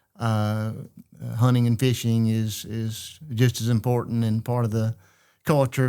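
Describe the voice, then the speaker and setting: A man with a Louisiana accent speaks at a medium pitch in a dark, mellow tone. His intonation is monotone and flat, on a very clean recording with a silent background. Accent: Louisiana Southern US. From Central Louisiana. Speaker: state legislator. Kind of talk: interview conversation. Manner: halting, many fillers.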